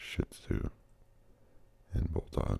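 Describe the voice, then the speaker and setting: A soft-spoken man whispers at a very slow pace. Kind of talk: ASMR whispered fact reading. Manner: whispered, soft.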